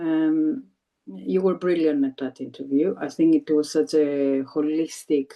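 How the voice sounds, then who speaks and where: The speaker has a Greek accent. The intonation is lively. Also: woman. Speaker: former TESOL trainee, new English teacher. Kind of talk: interview. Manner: halting, many repetitions.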